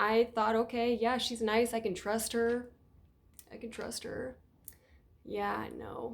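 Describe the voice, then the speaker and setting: A woman speaks at a fairly high pitch in an unremarkable speaking voice. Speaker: youtuber telling personal story. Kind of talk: storytime testimony. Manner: casual, filler-heavy.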